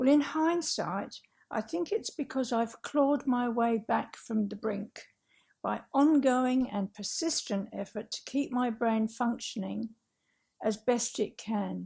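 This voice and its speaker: On a very clean recording with a silent background, a woman with an Australian accent speaks at a fairly slow pace in a fairly high pitch with lively intonation. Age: 60s. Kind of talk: public talk. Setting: talk venue with audience. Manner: careful reading from script; simple vocabulary, effortful speech.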